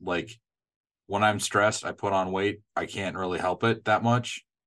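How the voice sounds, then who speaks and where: A man with a Midwestern accent, fairly low in pitch and fairly slow, over a quiet background. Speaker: podcast co-host. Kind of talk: casual conversational.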